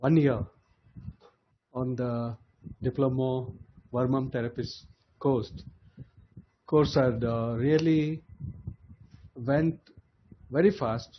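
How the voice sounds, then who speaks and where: Very slow and somewhat breathy, a man talks at a medium pitch with ordinary pitch variation and long, frequent pauses. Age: 60s. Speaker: graduating diploma student. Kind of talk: convocation speech. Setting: online video call.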